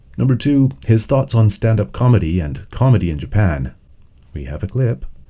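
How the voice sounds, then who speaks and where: With a fairly low pitch, this man sounds somewhat breathy and dark, mellow in tone. He moves at a moderate pace through very wide pitch swings. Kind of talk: podcast intro.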